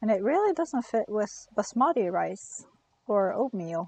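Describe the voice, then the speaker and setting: A woman speaks with a non-native accent at a fairly high pitch. Her pace is very slow. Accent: non-native English, noticeable. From Norway. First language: Norwegian. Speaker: gaming streamer. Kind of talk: live game stream commentary. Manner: casual, hesitant with fillers.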